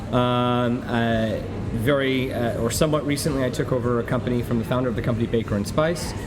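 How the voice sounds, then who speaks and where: The recording carries audible room echo and noticeable background noise. A man talks at a moderate pace. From New York. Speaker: restaurateur. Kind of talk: interview. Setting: busy restaurant. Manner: many fillers and repetitions.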